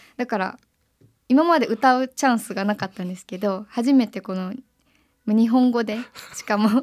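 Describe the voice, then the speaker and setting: A woman's fairly high voice at a moderate pace, with ordinary pitch variation, big swings in loudness and long, frequent pauses. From Japan, Kyoto. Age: 20s. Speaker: singer-songwriter. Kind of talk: radio interview.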